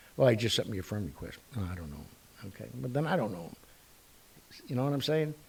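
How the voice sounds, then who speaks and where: A man speaks at a very fast pace in an animated, somewhat breathy tone. His pitch swings very widely. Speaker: talk show host. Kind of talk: casual talk show monologue.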